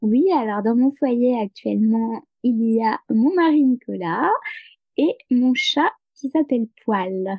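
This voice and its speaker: Delivered at a very slow pace, the voice has a dark, mellow tone, lively intonation and very even loudness, with a dry, close sound and no echo. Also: woman, high pitch for a woman. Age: 30s. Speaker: peer support worker and novelist. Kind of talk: interview. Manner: halting.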